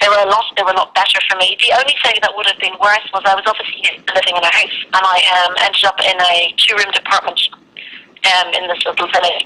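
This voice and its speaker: With noticeable background noise behind her, a woman speaks at a very fast pace, a medium pitch and fairly even intonation. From London, later Ireland. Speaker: emigrant teacher. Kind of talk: interview.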